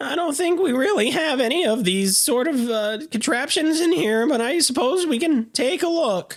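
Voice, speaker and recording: Putting on a character voice at an extremely high pitch, a man speaks at a moderate pace with hardly any pauses. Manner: stammering, hesitant.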